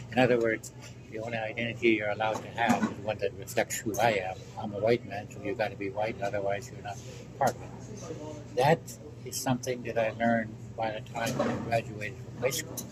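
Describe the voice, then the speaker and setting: A man's medium-pitched, monotone voice, flat in intonation, at a fairly quick pace, with big swings in loudness and noticeable background noise. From Alaska. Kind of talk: oral history interview answer.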